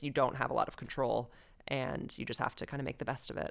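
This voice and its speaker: A woman's very deep, low voice with vocal fry at a very fast pace. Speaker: returned expat guest. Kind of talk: casual interview chat.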